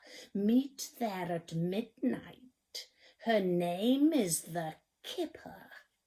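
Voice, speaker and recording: A put-on character voice, female-sounding, moves at a very slow pace. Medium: read story.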